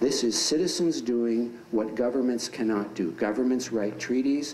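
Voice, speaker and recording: A man with an American accent speaks at a moderate pace, with ordinary pitch variation. Room echo is audible. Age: 60s. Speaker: dialogue group member. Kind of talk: classroom talk. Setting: high school classroom.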